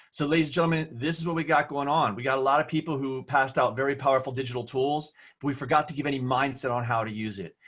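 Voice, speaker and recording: At a very fast pace with hardly any pauses, a man with an American accent talks in a fairly high pitch with fairly even intonation. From New Jersey. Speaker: online safety educator. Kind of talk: webinar presentation. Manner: loud.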